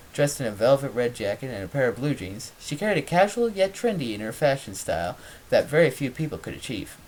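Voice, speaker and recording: Noticeable background noise sits behind talking that moves at a fairly quick pace. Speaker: amateur dramatic reader. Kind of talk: dramatic reading of fan fiction.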